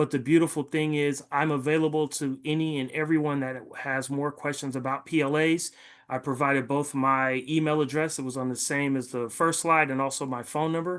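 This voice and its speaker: A man talks at a fairly quick pace with hardly any pauses, his voice fairly high. His intonation is monotone and flat against a quiet background. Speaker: city program presenter. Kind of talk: presentation. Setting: video call. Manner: fast.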